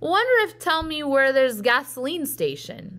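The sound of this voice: At a moderate pace, a put-on character voice sounds female and sits at a high pitch.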